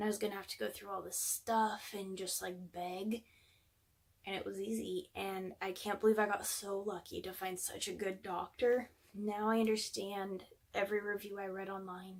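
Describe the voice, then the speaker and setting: A woman's medium-pitched voice holds a monotone, flat intonation while moving at a moderate pace. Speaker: vlogger. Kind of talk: personal vlog.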